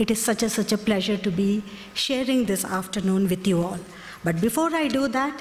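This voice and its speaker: With noticeable background noise behind her, a woman talks in a Kannada accent at a fairly high pitch with ordinary pitch variation. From India, Karnataka. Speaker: company executive. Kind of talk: speech at press event.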